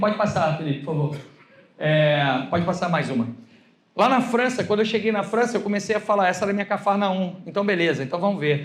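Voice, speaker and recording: A man talks very fast in a high voice with lively intonation, and the room echo is audible. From Brazil. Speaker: pastor. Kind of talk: sermon. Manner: animated.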